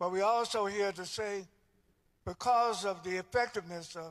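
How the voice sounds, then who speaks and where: In a very clean recording with a silent background, a man with a North Carolina accent talks at a fairly slow pace, his pitch high and his intonation fairly even. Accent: Southern US (North Carolina). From US South. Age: 70s. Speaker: civil rights leader and minister. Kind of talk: speech at a church service. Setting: church.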